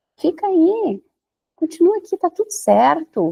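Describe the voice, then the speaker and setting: A woman's dark, mellow voice makes very wide pitch swings in a dry, close sound with no echo. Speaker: holistic therapist, podcast host. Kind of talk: podcast monologue. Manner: slow.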